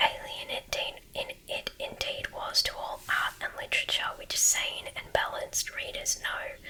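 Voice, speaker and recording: The voice is whispering with hardly any pauses. Noticeable background noise sits behind it. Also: woman. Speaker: ASMR reader. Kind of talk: sleep story. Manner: whispered.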